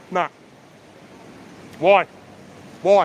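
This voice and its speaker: A loud man's voice with an Australian accent. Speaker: street auditor filming public officials. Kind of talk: heated confrontation on camera. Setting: outdoors at a train station.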